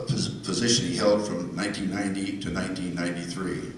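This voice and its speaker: A man with a fairly low pitch speaks at a fairly quick pace, with ordinary pitch variation. Noticeable background noise and audible room echo surround his voice. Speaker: award presenter. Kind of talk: banquet speech. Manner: soft-spoken.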